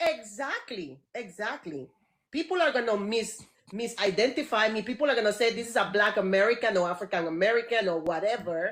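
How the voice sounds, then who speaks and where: Speaking at a fairly quick pace, a woman with a non-native accent uses lively intonation at a fairly high pitch. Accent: foreign. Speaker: guest. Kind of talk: conversation.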